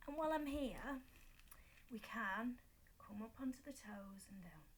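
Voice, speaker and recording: With a Yorkshire accent and vocal fry, the voice moves at a fairly slow pace. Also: woman. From Yorkshire, northern England. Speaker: fitness instructor. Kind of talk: exercise tutorial. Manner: casual, chatty.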